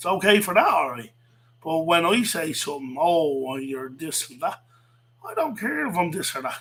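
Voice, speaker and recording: With a Dublin accent and a high pitch, a man sounds animated, using lively intonation and big swings in loudness over noticeable background noise. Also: moderate pace. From Ireland, south Dublin. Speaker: livestreamer, wrestling commentator. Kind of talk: casual livestream rant. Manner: animated, repetitive.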